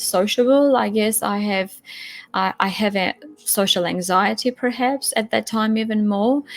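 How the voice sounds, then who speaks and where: A woman with a non-native accent, at a fairly slow pace, in a dry, close sound with no echo. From Europe, non-English-speaking. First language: not English. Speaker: testimony guest. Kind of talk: personal testimony. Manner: halting, with repetitions.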